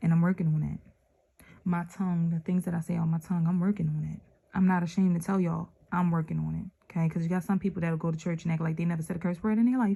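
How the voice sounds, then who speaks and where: This woman talks very fast in a dark, mellow, somewhat breathy tone. Her intonation stays flat and monotone. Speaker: religious channel host reading scripture. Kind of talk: scripture reading with reflection. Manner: casual, conversational.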